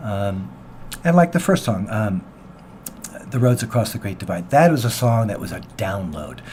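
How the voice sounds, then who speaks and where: A man with an American accent and very wide pitch swings. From US Pacific Northwest, Seattle. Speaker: singer-songwriter. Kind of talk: radio interview. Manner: halting.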